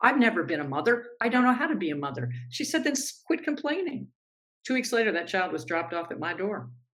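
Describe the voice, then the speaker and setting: A woman's fairly high, fry-tinged voice, very fast, with very wide pitch swings. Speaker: author and former sports anchor. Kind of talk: interview storytelling. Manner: animated.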